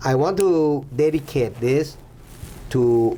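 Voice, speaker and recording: A man speaks with a Thai accent. His intonation is lively. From Thailand. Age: 60s. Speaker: former Thai officer, donor. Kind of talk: interview. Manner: halting.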